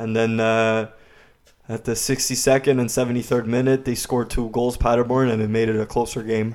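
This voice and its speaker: Medium in pitch, a man speaks with monotone, flat intonation. His pace is moderate. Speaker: football podcast co-host. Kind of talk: casual sports podcast discussion.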